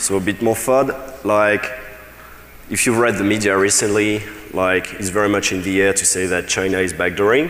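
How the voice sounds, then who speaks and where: Long, frequent pauses break up a man's speech. The recording has audible room echo and noticeable background noise. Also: fairly low pitch for a man, fairly even intonation, moderate pace. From France. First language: French. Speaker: security researcher. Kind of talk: conference talk. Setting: stage with audience. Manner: casual, many fillers and restarts.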